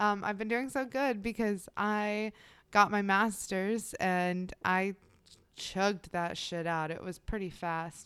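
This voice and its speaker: A woman talks very slowly at a medium pitch, with ordinary pitch variation. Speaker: true crime podcast co-host. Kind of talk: casual chat and true crime storytelling.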